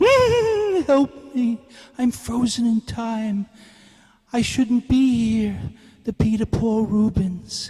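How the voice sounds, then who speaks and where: A put-on character voice, fairly high in pitch, very slow, with long, frequent pauses. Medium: voice reel.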